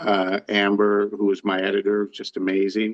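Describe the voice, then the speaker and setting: This man talks with a Canadian Maritime accent. His pitch sits fairly low and his pace is fairly slow. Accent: Canadian Maritimes English. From Canada, New Brunswick (Saint John). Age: 60s. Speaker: author and harness racing enthusiast. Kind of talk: interview. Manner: halting, many fillers and restarts.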